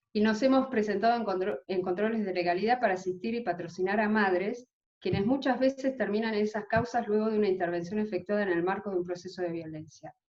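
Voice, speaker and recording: She barely stops, leaving hardly any pauses. The woman's pace is very fast. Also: medium pitch for a woman, ordinary pitch variation. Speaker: legal aid lawyer. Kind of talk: conference presentation. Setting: video call.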